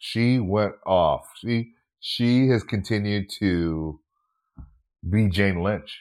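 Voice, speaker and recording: A fairly low-pitched man with an American accent, very slow with long, frequent pauses, ordinary pitch variation and very even loudness, on a very clean recording with a silent background. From Minnesota. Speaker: actor and comedian. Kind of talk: casual interview chat.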